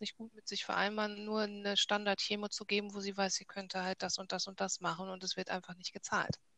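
Over noticeable background noise, a woman of medium pitch speaks at a moderate pace, the sound dry and close with no echo. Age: 40s. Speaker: cancer patient. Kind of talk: casual interview.

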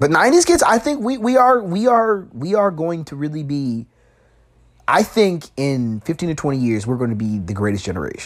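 This man talks in a Chicago accent. His pitch swings very widely. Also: moderate pace. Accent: Chicago American English. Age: 20s. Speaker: podcast host. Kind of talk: casual monologue. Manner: halting.

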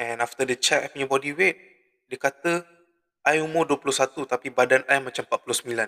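At a fairly slow pace, a man speaks with a fairly high pitch, a bright and sharp tone and fairly even intonation, in a dry, close sound with no echo. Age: 20s. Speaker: podcast host. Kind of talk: casual solo monologue.

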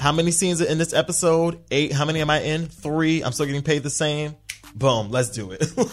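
Over noticeable background noise, a man with a fairly high pitch speaks fairly quickly in an animated tone, with ordinary pitch variation. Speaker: podcast host. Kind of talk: casual chat.

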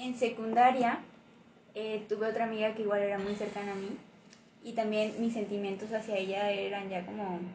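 Soft-spoken and fairly high in pitch, a woman talks at a moderate pace in monotone, flat intonation, with audible room echo and noticeable background noise. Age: 20s. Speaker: guest. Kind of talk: casual chat.

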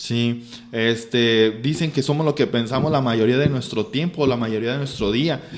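Fairly slow and fairly even in intonation, a man speaks at medium pitch. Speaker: teacher and engineer. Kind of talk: casual chat.

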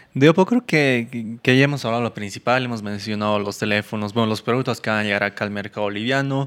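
Very fast and with hardly any pauses, a man speaks at a medium pitch with ordinary pitch variation. The recording is very clean, with a silent background. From Argentina and Bolivia, born Buenos Aires. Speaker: tech podcast co-host. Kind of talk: casual chat. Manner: halting, repeats words.

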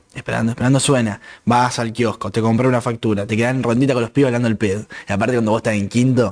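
Speaking at a very fast pace with a Rioplatense accent, a man keeps a medium pitch and a monotone, flat intonation. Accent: Argentine Rioplatense Spanish. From Argentina, Santa Fe province (Constitución department). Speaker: podcast co-host. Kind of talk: casual chat.

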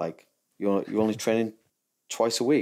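Fairly low-pitched man's voice with a dark, mellow tone and a moderate pace. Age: 40s. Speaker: Muay Thai fighter and coach. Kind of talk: casual interview. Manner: halting, many repetitions.

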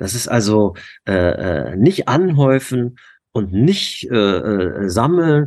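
A man speaks against a quiet background. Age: 50s. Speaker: youth basketball coach. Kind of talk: interview.

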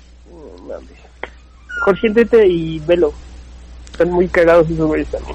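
Over noticeable background noise, a man talks at a very slow pace with big swings in loudness. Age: 20s. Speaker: stand-up comedian. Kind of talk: casual chat.

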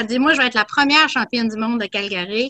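A high-pitched woman speaks with ordinary pitch variation over noticeable background noise. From Quebec. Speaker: boxing commentator. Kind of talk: casual chat.

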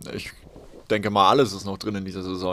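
This man's voice sits fairly low. The recording is very clean, with a silent background. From Palatinate, southwestern Germany (Haßloch near Ludwigshafen). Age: 20s. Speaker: professional handball player. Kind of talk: casual interview. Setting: covered balcony, rain.

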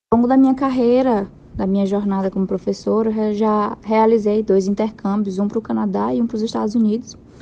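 Her tone is dark and mellow, with a fairly high pitch and fairly even intonation. The woman talks at a fairly quick pace with hardly any pauses. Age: 20s. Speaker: English teacher. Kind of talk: interview.

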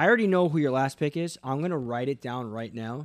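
On a very clean recording with a silent background, an unremarkable speaking voice carries lively intonation. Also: man. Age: 20s. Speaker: podcast guest. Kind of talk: casual chat.

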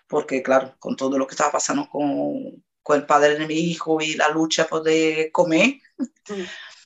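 Her pitch very deep and low, a woman talks with ordinary pitch variation at a moderate pace. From Brazil, Salvador de Bahía. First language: Portuguese (speaking Spanish). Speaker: interviewee. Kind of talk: testimony.

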